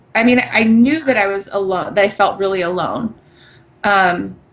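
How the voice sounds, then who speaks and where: A woman with a plain, everyday voice speaks at a moderate pace. Her pitch is medium, with ordinary pitch variation. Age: 30s. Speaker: brain cancer survivor podcast co-host. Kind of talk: casual chat.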